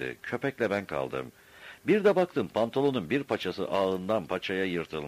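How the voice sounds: The voice reads naturally. Nothing about the delivery is forced.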